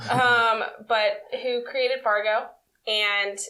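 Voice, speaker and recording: This woman has a fairly high pitch and an American accent. Her tone is bright and sharp, her intonation monotone and flat. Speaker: podcast host. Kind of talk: casual chat.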